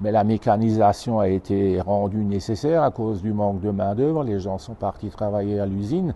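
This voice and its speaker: A man talks at a moderate pace. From Alsace, France (Haut-Rhin). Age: 60s. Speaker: tractor collector. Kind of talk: interview. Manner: halting.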